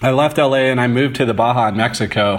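Speaking with an American accent, a man has a plain, everyday voice at a medium pitch with fairly even intonation. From St. Louis, Missouri. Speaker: photographer. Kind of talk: interview.

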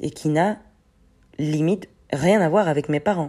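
A woman talks at a fairly slow pace in a very deep, low voice with a dark, mellow tone. The recording is very clean, with a silent background. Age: 30s. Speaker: personal development podcaster. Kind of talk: solo reflective monologue. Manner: hesitant, many fillers.

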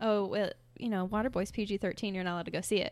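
A woman talks in an American accent at a medium pitch. It is an ordinary speaking voice with fairly even intonation. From Fort Wayne, Indiana. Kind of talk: casual chat.

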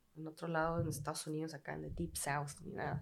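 A woman speaks with a very deep, low pitch. Her pace is very fast and her intonation fairly even. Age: 30s. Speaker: bartender. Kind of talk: casual chat.

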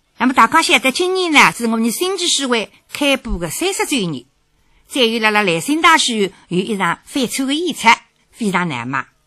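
With a Shanghainese accent, a woman talks at a moderate pace in a fairly high voice, her pitch swinging very widely. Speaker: radio host. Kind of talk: scripted narration.

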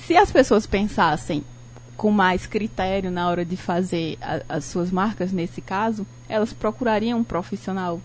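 At a fairly slow pace, a woman speaks at a medium pitch with ordinary pitch variation and vocal fry. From Brazil, Ceará (Cariri region, Barbalha). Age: 30s. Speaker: designer and law student. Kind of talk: radio talk show interview. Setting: radio studio, live broadcast.

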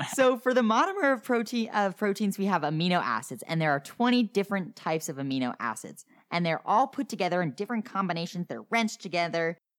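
A woman with an American accent speaks at a very fast pace, animated and playful, with lively intonation. The recording is very clean, with a silent background. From New Jersey. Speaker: podcast host teaching biology. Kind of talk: casual educational chat. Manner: animated, playful.

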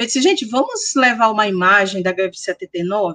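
Dry and close with no echo, a woman speaks with lively intonation. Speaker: history professor and researcher. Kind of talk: interview.

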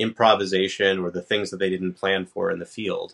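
With an ordinary speaking voice, a man in an American accent talks at a fairly quick pace, his pitch fairly low and his intonation fairly even. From New York. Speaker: tech company president and home builder. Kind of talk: podcast interview. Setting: remote call.

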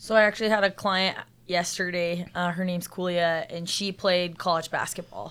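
A woman's fairly low, bright and sharp voice in a flat monotone with an American accent, fairly slow, on a very clean recording with a silent background. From Salt Lake City, Utah. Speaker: personal trainer and gym co-owner. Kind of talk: podcast interview.

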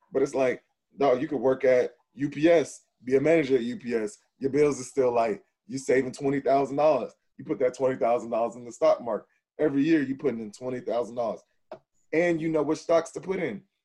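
At a fairly quick pace, a man with an American accent speaks in a dark, mellow, medium-pitched voice with ordinary pitch variation and big swings in loudness. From Texas. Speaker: podcast co-host. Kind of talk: casual chat.

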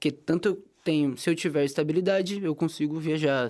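The recording is very clean, with a silent background. A man speaks in a plain, everyday voice with fairly even intonation. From interior of São Paulo state, Brazil. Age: 20s. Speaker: journalism student. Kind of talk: casual interview.

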